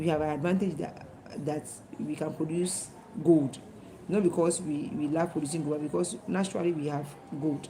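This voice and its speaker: Long, frequent pauses from a woman with a very deep, low pitch and fairly even intonation, in audible room echo. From Ghana. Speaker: teacher. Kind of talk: lecture. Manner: fast.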